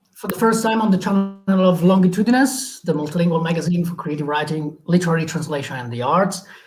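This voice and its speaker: A man speaks very fast with hardly any pauses, at a high pitch for a man and with ordinary pitch variation. Noticeable background noise runs under his voice. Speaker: magazine editor, interview host. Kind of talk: live stream introduction.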